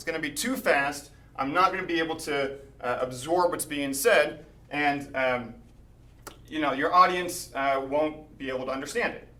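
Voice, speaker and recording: Audible room echo surrounds the man as he talks. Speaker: mathematician giving a talk. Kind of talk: lecture. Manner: fast.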